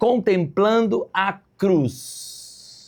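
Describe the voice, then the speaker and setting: This man's voice sits high in pitch. His tone is animated. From Rio de Janeiro, Brazil. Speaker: pastor. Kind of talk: bible lesson.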